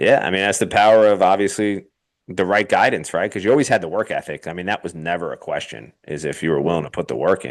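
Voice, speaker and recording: Against a quiet background, a man talks at a very fast pace with lively intonation and vocal fry. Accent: American. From New York. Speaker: baseball pitching coach. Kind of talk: interview testimonial. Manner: casual.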